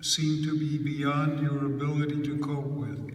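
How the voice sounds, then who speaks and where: Noticeable background noise and audible room echo surround a man whose voice is fairly high in pitch. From Hungary. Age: 80s+. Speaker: Holocaust survivor speaker. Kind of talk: talk to high school students. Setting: school auditorium with student audience.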